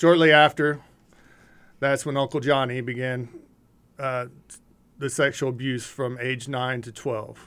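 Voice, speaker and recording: Speaking with an American accent, a man at medium pitch keeps his intonation monotone and flat, with long, frequent pauses. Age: 40s. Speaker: ministry leader sharing recovery testimony. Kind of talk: testimony.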